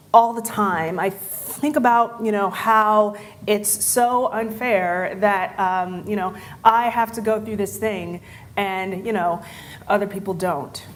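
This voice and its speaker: At a very slow pace, a woman speaks with a medium pitch and fairly even intonation. Audible room echo fills the recording. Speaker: conference speaker. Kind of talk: conference talk. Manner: halting.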